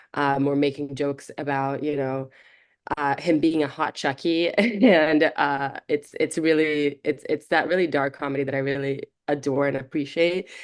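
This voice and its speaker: A woman with a very deep, low pitch speaks at a moderate pace. Her intonation is fairly even, and the background is quiet. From Brazil. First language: Portuguese. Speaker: film director. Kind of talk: interview.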